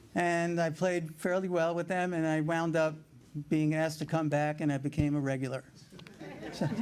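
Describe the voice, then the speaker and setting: Someone with a New York accent speaks at a moderate pace. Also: man. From New York City (Brooklyn). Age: 70s. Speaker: paddleball player, hall of fame inductee. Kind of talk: acceptance speech. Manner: halting.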